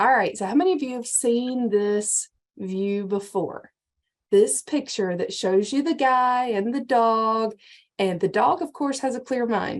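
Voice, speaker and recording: Someone speaks at a fairly slow pace with a Georgia accent. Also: woman, fairly high pitch for a woman, ordinary pitch variation. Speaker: county extension agent, workshop presenter. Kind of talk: lecture.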